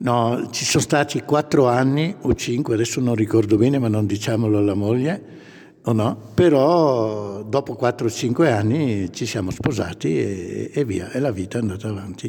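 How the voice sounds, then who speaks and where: A man speaks at a moderate pace with ordinary pitch variation. Noticeable background noise is present. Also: medium pitch for a man. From northern Italy, Brescia province. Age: 60s. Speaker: grandfather and church volunteer. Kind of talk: interview. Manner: enthusiastic.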